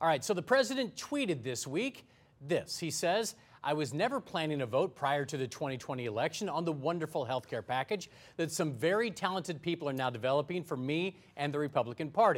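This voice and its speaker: The recording is very clean, with a silent background, and a man talks at a fairly quick pace with lively intonation. His is a normal speaking voice, fairly high in pitch. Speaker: TV show anchor. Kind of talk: TV news talk show moderating. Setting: studio.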